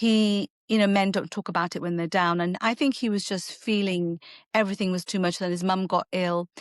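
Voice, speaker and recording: Against a quiet background, a woman with a medium pitch talks fairly quickly in a fairly even intonation, the sound dry and close with no echo. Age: 60s. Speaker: artisan baker. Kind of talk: interview conversation. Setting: podcast. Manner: halting.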